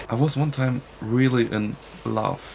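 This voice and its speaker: A man with a German accent, over noticeable background noise. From Germany. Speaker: podcast guest. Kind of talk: interview. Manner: halting.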